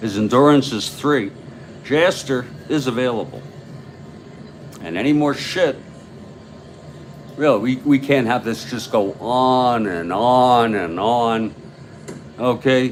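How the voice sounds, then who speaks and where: Over noticeable background noise, a man speaks very slowly at a medium pitch in a relaxed tone. He takes long, frequent pauses, and his pitch variation is ordinary. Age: 60s. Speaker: tabletop baseball game commentator. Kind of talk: simulated live play-by-play commentary. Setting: home studio. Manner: slow, relaxed pace.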